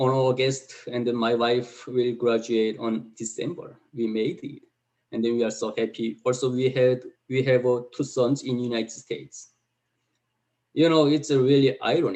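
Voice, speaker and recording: A man with a medium pitch speaks with a Korean accent. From North Korea. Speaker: North Korean defector. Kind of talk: testimony. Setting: video call. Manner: halting.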